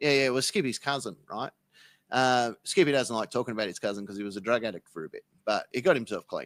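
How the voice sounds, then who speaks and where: On a very clean recording with a silent background and a dry, close sound with no echo, a man with an Australian accent talks at a very fast pace and medium pitch, with ordinary pitch variation and big swings in loudness. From Australia, Sydney and Melbourne. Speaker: podcast guest. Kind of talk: casual chat, comedic tall tale. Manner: animated.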